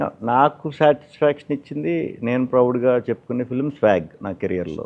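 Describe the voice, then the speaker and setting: His is an ordinary speaking voice, medium in pitch, and this man's intonation is lively. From Amalapuram, Andhra Pradesh. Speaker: film actor. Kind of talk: interview answer.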